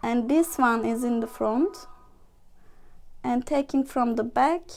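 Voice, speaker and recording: A woman with a non-native accent speaks at a very slow pace. Her voice is high, with ordinary pitch variation. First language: not English. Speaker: workshop instructor, volunteer. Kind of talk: tutorial. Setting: live stream. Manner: halting.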